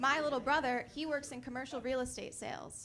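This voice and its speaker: Audible room echo surrounds a woman speaking very fast at a high pitch. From Connecticut. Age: 20s. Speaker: stand-up comedian. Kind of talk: stand-up. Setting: comedy club stage with audience.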